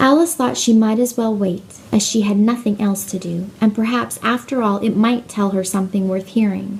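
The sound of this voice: An unforced reading voice carries the whole clip.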